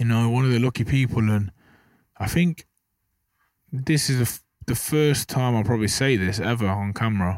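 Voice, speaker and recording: With an English Midlands accent, a man speaks at a medium pitch and moderate pace, with ordinary pitch variation, very even loudness and long, frequent pauses, in a very clean recording with a silent background. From English Midlands, Burton upon Trent. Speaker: professional boxer. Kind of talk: casual interview chat. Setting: outdoors, dugout by rugby pitch.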